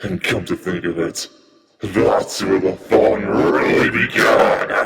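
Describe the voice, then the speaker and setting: A raspy, put-on character voice from a man, very deep and low-pitched, at a fairly slow pace with strong echo. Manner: menacing.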